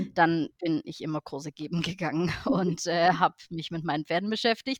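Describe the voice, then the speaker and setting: A woman speaks in a fairly low pitch. She has an ordinary speaking voice, recorded with a dry, close sound with no echo. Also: quiet background. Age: 30s. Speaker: Icelandic horse professional and show judge. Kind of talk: interview.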